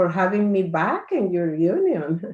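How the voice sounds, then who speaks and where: A woman's fairly low voice with a Spanish accent. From Dominican Republic. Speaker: church health ministries director. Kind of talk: presentation.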